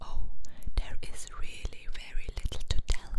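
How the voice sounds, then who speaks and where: A woman is whispering. Noticeable background noise can be heard behind her. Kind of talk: ASMR book reading, whispered. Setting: binaural microphone, close-up recording. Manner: whispered, soft-spoken.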